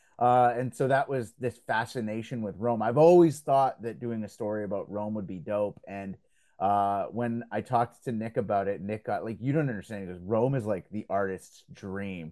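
A man's dark, mellow, fairly low voice at a moderate pace with hardly any pauses and ordinary pitch variation, over a quiet background. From Belgium. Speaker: radio host and comic book writer. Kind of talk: casual interview. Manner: animated.

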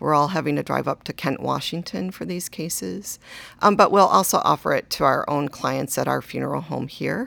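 The speaker goes at a moderate pace in a very clean recording with a silent background. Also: woman. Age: 50s. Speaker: cemetery executive director. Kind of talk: interview. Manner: hesitant, many fillers.

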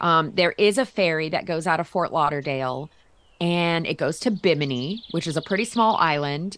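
A plain, everyday voice from a woman with an American accent, fairly low in pitch, with ordinary pitch variation and a moderate pace. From Florida, US. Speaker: travel writer. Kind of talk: casual chat.

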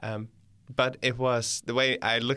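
A man speaks at a medium pitch with a bright, sharp tone. The recording is very clean, with a silent background. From Netherlands. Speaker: volunteer church worker. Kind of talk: casual interview, sharing testimony. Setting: studio.

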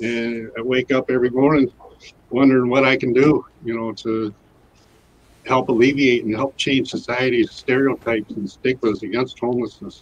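A man with a Michigan accent speaks at a medium pitch. His pace is moderate and his intonation fairly even. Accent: Michigan (Inland North) American. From Michigan, Detroit area and Grand Rapids. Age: 60s. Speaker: formerly homeless advocate running a nonprofit. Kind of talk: casual interview. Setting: studio.

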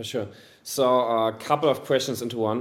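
A man speaks with a German accent. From Germany. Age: 20s. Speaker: e-commerce agency owner. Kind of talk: casual interview.

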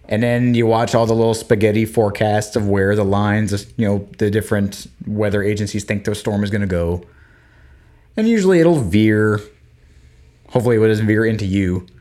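A man's plain, everyday voice, fairly low in pitch, at a fairly quick pace with an American accent. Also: fairly even intonation. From Florida. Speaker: podcast co-host. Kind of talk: casual chat.

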